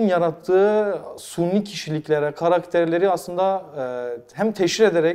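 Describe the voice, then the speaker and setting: With a Kurdish accent, a man speaks in a high pitch and a dark, mellow tone. His pitch variation is ordinary. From Mardin, southeastern Turkey. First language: Kurdish (speaking Turkish). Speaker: talk show host and dubbing artist. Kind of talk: interview. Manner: halting with many fillers.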